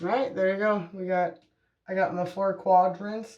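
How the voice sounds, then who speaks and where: At a moderate pace, a soft-spoken voice talks. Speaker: hair color vlogger. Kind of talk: casual vlog tutorial. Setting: at home at night. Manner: soft-spoken, quiet.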